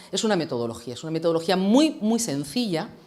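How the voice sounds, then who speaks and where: Very fast and in an animated tone, a woman speaks in an Andalusian accent with fairly low pitch. Her pitch swings very widely, and room echo is audible. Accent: Andalusian (Jaén). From Andalusia, Jaén. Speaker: HR consultant and communication trainer. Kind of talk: lecture.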